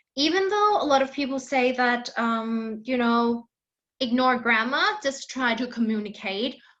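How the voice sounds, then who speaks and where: A woman's bright, sharp voice with a Thai accent. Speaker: English teacher. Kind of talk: online class lecture. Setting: online class with shared screen.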